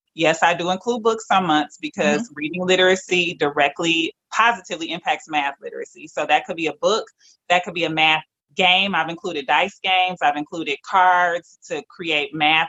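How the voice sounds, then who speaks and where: A woman talks at a fairly quick pace with an American accent. Her pitch sits fairly low. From Detroit, Michigan. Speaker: entrepreneur. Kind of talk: interview. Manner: energetic.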